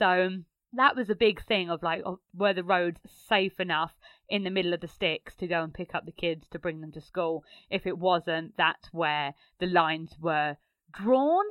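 With ordinary pitch variation, the speech proceeds at a moderate speed. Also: woman, fairly low pitch for a woman. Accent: Essex. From Essex, England. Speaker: travel blogger. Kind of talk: recorded contribution, casual.

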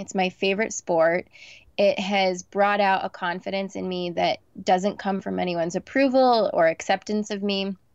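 A woman with a normal speaking voice, medium pitch, ordinary pitch variation and moderate pace, dry, close sound with no echo, quiet background. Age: 30s. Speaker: reality TV personality and blogger. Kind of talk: casual chat. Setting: video call from her closet.

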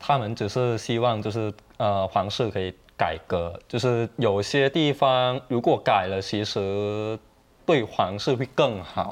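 A man speaks with a Thai accent. His pace is very slow. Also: medium pitch for a man, ordinary pitch variation. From Thailand. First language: Thai (speaking Chinese). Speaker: Thai student activist. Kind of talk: TV panel discussion. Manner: hesitant, many fillers.

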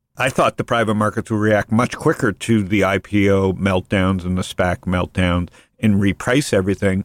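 This man has a normal speaking voice at a fairly low pitch, talking at a moderate pace with fairly even intonation and very even loudness, in a very clean recording with a silent background and a dry, close sound with no echo. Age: 50s. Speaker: podcast host and venture investor. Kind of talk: casual interview chat.

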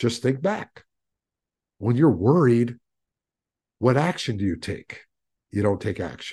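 Against a quiet background, a man with a dark, mellow, somewhat breathy tone speaks fairly slowly at a medium pitch, using lively intonation and long, frequent pauses. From small mill town. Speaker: podcast host and stress coach. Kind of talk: solo podcast monologue. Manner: emphatic, preachy.

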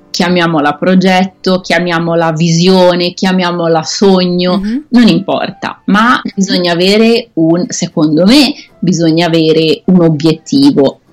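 Music plays in the background as a woman speaks at a fairly low pitch. Her pace is fairly slow, with ordinary pitch variation. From Italy. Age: 30s. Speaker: expatriate manager and blogger. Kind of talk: interview. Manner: halting.

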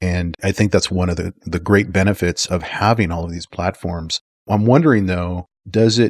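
At a moderate pace and with ordinary pitch variation, a man talks in an unremarkable speaking voice, recorded very cleanly against a silent background with a dry, close sound and no echo. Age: 50s. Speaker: podcast host. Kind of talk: interview; scripted intro.

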